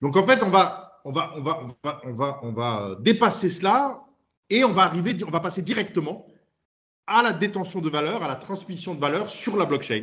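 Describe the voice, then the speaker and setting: At a moderate pace, a man speaks at a high pitch with very wide pitch swings and big swings in loudness. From France. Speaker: startup CEO. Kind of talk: interview. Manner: halting.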